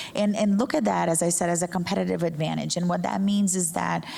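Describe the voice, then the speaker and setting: Noticeable background noise sits behind a woman speaking with a Portuguese accent. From Brazil. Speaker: journalism professor. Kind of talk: panel discussion.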